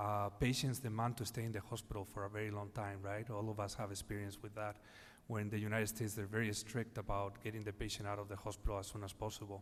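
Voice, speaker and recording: With a Spanish accent, a man talks at a very fast pace in a fairly low, monotone, flat voice, with audible echo in the room. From Spain, Madrid. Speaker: healthcare executive panelist. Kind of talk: panel discussion. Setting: conference stage. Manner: halting, many fillers.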